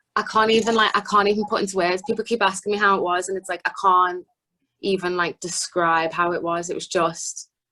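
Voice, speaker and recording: A woman speaks with a Liverpool accent at a fairly quick pace. Her medium-pitched voice has a bright, sharp tone. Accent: Scouse. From Liverpool, north-west England. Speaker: singer-songwriter. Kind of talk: interview. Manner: animated.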